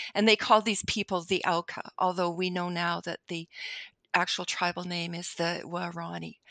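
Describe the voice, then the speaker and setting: Over a quiet background, a woman talks at a moderate pace in a bright, sharp tone, her pitch fairly low and her intonation monotone and flat, with a dry, close sound and no echo. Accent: Canadian. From Canada. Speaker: novelist. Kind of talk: interview.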